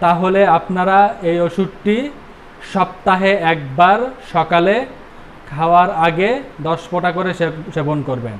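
A man speaks with a high pitch and fairly even intonation. Light background noise can be heard. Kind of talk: health advice talk. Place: shop. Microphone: lapel.

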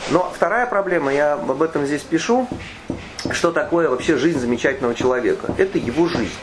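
Over noticeable background noise, a man speaks fairly quickly in a fairly high voice with lively intonation. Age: 50s. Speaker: author. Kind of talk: book presentation talk. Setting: bookstore event with audience. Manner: hesitant, filler-heavy.

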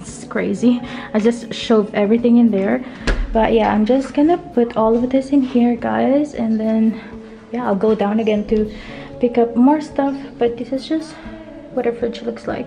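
A woman speaks with fairly even intonation while clear music plays in the background. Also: moderate pace. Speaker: vlogger. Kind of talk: casual vlog chat. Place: empty room. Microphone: phone near.

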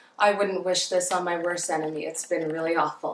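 Noticeable background noise sits behind a woman talking at a moderate pace and a fairly low pitch with monotone, flat intonation. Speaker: beauty vlogger. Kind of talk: casual vlog talk to camera.

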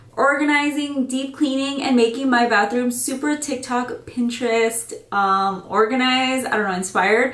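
A woman speaks with high pitch and ordinary pitch variation at a moderate pace. Audible room echo surrounds her voice. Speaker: vlogger. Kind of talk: casual vlog chat. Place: bathroom. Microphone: camera far.

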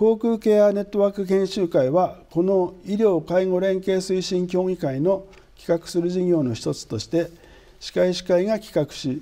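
A man with a high pitch and a dark, mellow tone speaks at a fairly slow pace. The background is quiet. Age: 60s. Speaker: dentist, dental association president. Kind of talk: interview, formal explanation. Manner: formal. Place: studio. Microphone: lapel.

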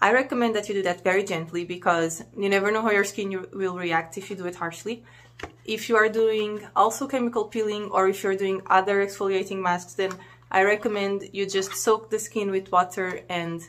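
Her intonation is fairly even. The woman keeps to a moderate pace. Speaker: beauty reviewer. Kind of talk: casual product review. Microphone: phone near.

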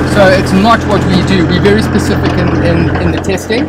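A man speaks at a moderate pace with music in the background. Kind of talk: conversational interview answer. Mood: thoughtful, earnest. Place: car.

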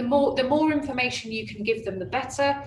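Amid audible room echo and light background noise, a woman speaks with lively intonation. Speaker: head of boarding at a school. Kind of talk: webinar presentation. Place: classroom. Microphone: webcam.

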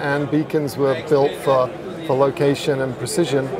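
A man at a moderate pace, medium pitch and little pitch movement, over clear crowd noise and clear background noise

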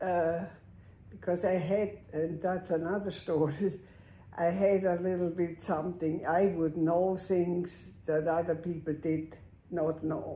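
A woman speaks in a fairly low, somewhat breathy voice with a dark, mellow tone, flat monotone intonation and very even loudness, and the room echo is audible. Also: fairly slow pace. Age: 80s. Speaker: longtime patient. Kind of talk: interview. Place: home room. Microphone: camera far.

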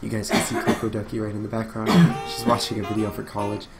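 A man speaks over clear music in the background. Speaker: gamer streamer. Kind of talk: casual gameplay commentary. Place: home room. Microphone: webcam.

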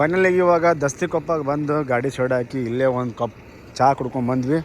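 A man talks fast at a fairly high pitch, keeping his intonation fairly even.

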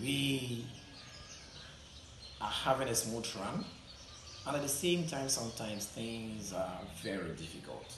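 There is audible room echo and noticeable background noise as a man talks at a fairly slow pace with long, frequent pauses. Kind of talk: interview answer. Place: classroom. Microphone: camera far.

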